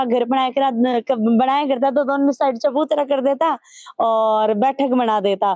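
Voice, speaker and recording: A woman speaks at a very slow pace and high pitch with a dark, mellow tone, fairly even intonation and very even loudness, in a dry sound with no echo against a quiet background. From Shekhawati, Rajasthan; Rajasthan. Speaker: local news reporter. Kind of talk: field interview. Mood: warm, appreciative. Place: home room. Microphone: handheld.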